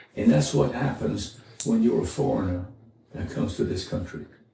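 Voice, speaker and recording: Vocal fry shows up in this man's voice, along with very wide pitch swings. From France, French Riviera. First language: French. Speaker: former Marine, immigrant interviewee. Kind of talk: interview. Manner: halting.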